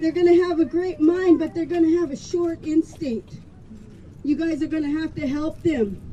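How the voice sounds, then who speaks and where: Over noticeable background noise, a woman talks at a moderate pace in an extremely high pitch with ordinary pitch variation. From Colville Reservation, Washington. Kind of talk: speech at a rally.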